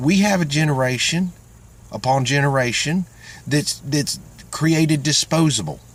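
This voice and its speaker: A man with a Southern US accent speaks in a somewhat breathy, fairly high voice. His pace is moderate and his pitch variation ordinary. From Florida. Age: old. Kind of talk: casual talk to camera. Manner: earnest, heartfelt.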